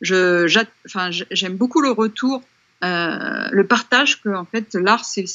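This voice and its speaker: The speaker is a woman with a medium pitch. Her voice has ordinary pitch variation. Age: 50s. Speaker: painter. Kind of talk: interview. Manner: halting.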